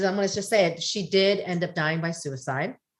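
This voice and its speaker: Very fast speech from a woman at a medium pitch comes through on a very clean recording with a silent background. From US. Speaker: podcast guest. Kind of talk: casual chat.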